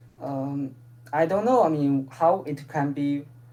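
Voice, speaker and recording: A very slow pace with a non-native accent. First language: not English. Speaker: proposal presenter. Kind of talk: community call presentation. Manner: halting.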